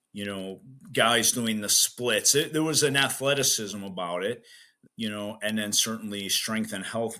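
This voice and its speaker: Bright and sharp in tone, a man with an American accent speaks in a fairly low pitch with ordinary pitch variation on a very clean recording with a silent background. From US Midwest, south side of Chicago. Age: 60s. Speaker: strength coach. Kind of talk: podcast interview. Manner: casual, many fillers.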